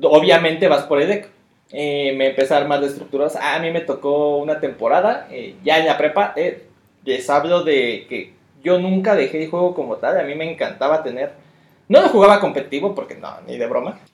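Loudness swings widely in an ordinary speaking voice that keeps a moderate pace and ordinary pitch variation. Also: man, fairly high pitch for a man. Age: 30s. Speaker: card game player, co-host. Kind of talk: casual chat.

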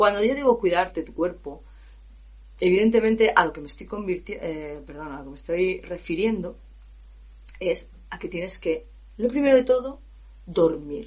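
In an animated tone with lively intonation and vocal fry, a woman speaks at medium pitch and a moderate pace. Her loudness swings widely, and she takes long, frequent pauses. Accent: Spanish. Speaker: professional singer and vocal coach. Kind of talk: podcast monologue.

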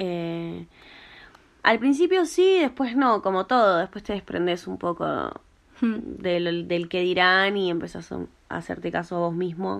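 With a Rioplatense accent, a woman speaks at a fairly slow pace against a quiet background. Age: 20s. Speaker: hair colorist and tattoo artist. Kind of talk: interview. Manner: hesitant, many fillers.

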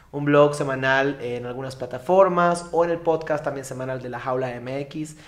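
With a Yucatecan accent, a man speaks at a fairly high pitch with ordinary pitch variation, and audible room echo surrounds his voice. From Yucatán, Mexico. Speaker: psychologist and activist. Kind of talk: interview. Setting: live stream at a community centre.

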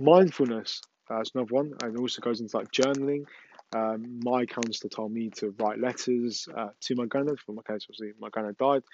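With an English accent, a man talks at a medium pitch. His pace is fairly quick and his intonation fairly even. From England. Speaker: mental health podcaster. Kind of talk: solo podcast monologue. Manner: hesitant, many fillers.

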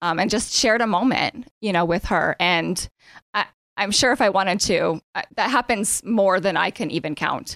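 In an American accent, a woman with a normal speaking voice and medium pitch talks at a moderate pace in a dry, close sound with no echo. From Erie area, Pennsylvania. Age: 30s. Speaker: nonprofit founder, bereaved mother. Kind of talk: interview.

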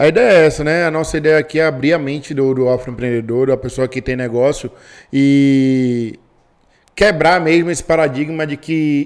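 This man has a plain, everyday voice, fairly high in pitch. He keeps a moderate pace with ordinary pitch variation. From Brazil, Bahia. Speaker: podcast co-host, entrepreneur. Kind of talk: podcast interview. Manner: casual, slangy.

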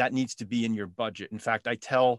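A man talks at a medium pitch and a moderate pace in an unremarkable speaking voice. The sound is dry and close with no echo, over a quiet background. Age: 50s. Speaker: retired father sharing financial advice. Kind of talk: casual chat.

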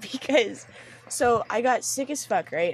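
Noticeable background noise runs behind the speech. A woman talks with very wide pitch swings. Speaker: podcast host. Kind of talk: casual chat.

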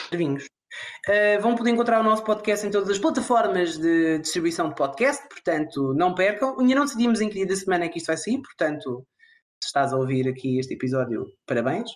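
This man's voice sits high for a man, moving at a fairly quick pace with very wide swings in pitch. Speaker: podcast co-host. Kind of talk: casual chat.

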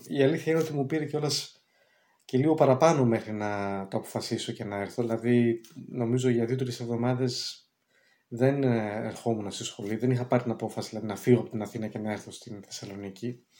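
Man's medium-pitched voice, dark and mellow in tone, at a fairly quick pace with ordinary pitch variation. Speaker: film director and screenwriter. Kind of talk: interview. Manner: hesitant, many filler sounds.

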